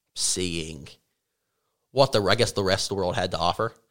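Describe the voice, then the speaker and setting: A man speaks with a slight Appalachian accent in a very clean recording with a silent background. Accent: Appalachian Southern, slight. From Appalachian North Carolina. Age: 20s. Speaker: college graduate, econ major. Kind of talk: casual interview chat.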